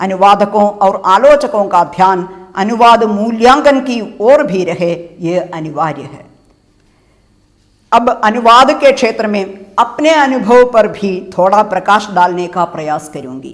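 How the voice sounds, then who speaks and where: Her medium-pitched voice has lively intonation, and this woman's loudness swings widely. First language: Malayalam (speaking Hindi). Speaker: professor and translator. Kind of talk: lecture. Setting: web lecture recording. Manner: formal.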